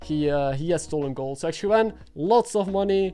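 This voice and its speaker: Backed by music, a man speaks at a moderate pace with lively intonation. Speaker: streamer and commentator. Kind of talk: live stream commentary.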